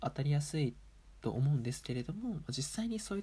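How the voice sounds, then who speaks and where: A man's fairly high, somewhat breathy voice with a dark, mellow tone, at a fairly quick pace. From Japan, Aomori Prefecture. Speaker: table tennis player and podcaster. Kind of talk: casual solo talk.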